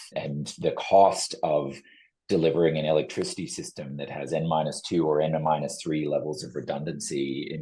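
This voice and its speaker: With a Canadian accent, the speaker has a dark, mellow tone, vocal fry, and monotone, flat intonation. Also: man. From Canada. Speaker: energy consultant. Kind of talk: podcast interview.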